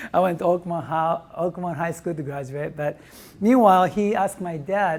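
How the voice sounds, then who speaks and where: A man with a Japanese accent speaks at a fairly quick pace. His pitch is high, with ordinary variation. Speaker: restaurant owner. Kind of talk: testimony. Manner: animated.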